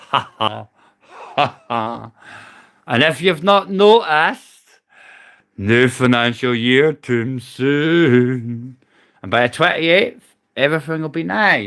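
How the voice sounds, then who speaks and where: With a Scottish accent, a man talks at a very slow pace and a medium pitch, using lively intonation and long, frequent pauses. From Scotland. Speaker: livestreamer, army veteran. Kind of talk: casual live stream rant. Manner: loud; animated.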